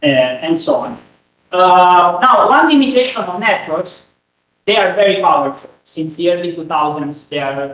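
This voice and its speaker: Someone speaks at a moderate pace with lively intonation amid audible room echo. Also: man. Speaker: researcher giving a conference talk. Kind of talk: lecture. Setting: conference room with audience. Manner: halting, many fillers. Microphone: no microphone, room recording.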